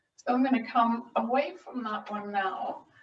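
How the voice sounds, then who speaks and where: This woman's pitch sits fairly high. Her voice is somewhat breathy. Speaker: physiotherapist and yoga teacher. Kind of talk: tutorial. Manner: slowing, relaxed pace.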